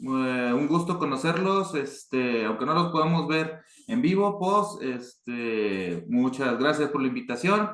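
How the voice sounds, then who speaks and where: A man speaks at a very slow pace with hardly any pauses, in a northern Mexican accent. His loudness stays very even, and the room echo is audible. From northern Mexico, Chihuahua. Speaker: board game designer. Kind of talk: panel talk. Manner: hesitant, many fillers.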